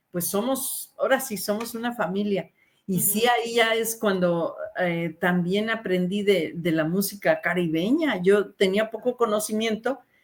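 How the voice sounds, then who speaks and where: Talking rather slowly, a woman uses a fairly high pitch. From Mexico. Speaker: radio announcer. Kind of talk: interview answer.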